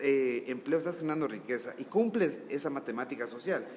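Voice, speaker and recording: Noticeable background noise accompanies a man whose lively intonation unfolds at a moderate speed. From Ecuador, Ambato. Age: 30s. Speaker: businessman. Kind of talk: interview.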